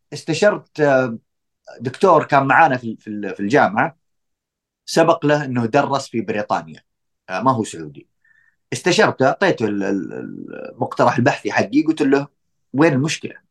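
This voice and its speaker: A man with a fairly high voice and vocal fry speaks at a very slow pace with long, frequent pauses. His pitch swings very widely, and the sound is dry and close with no echo. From Saudi Arabia. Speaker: doctoral researcher in tourism marketing. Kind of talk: casual interview.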